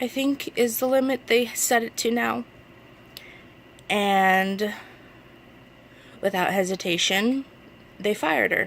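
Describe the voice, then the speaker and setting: A woman speaks with an American accent at a very slow pace. Her intonation is lively. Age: 20s. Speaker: vlogger asking for donations. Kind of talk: personal appeal to camera. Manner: halting.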